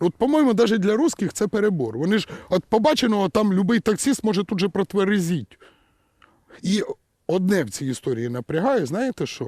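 Very wide pitch swings in a man's high voice, with a dry, close sound and no echo. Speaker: satirical news commentator. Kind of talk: satirical commentary. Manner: sarcastic.

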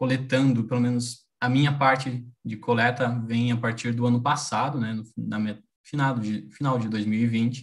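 A man speaks in a monotone with flat intonation and a somewhat breathy quality. The background is quiet. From Brazil. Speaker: university professor. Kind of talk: lecture. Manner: halting. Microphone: video call.

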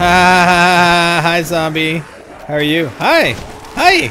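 Over clear background noise, a man puts on a character voice, pitched high and delivered at a very slow pace. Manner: mocking.

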